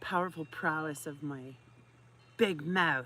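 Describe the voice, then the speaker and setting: A woman speaks loudly at a moderate pace with a bright, sharp tone and ordinary pitch variation. The recording is very clean, with a silent background. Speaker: livestreamer reading a book aloud. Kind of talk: casual chat. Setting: outdoors. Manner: animated. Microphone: poor audio.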